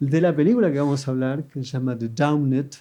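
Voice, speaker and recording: A man's very fast speech in a dark, mellow tone. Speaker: film critic and podcast host. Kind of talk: live podcast interview before audience. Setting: stage with audience. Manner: hesitant, with fillers.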